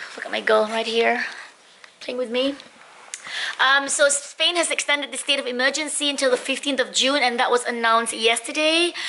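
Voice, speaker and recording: Over noticeable background noise, a woman speaks in a raised, projected, high-pitched voice. Her pace is fairly quick and her intonation fairly even. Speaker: lifestyle vlogger. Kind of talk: casual vlog. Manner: perky, chirpy.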